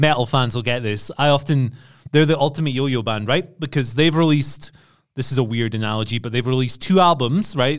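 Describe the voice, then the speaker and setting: At a very fast pace, someone with an English accent speaks with ordinary pitch variation on a very clean recording with a silent background. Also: man. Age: 30s. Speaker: wrestling podcast co-host. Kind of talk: casual chat.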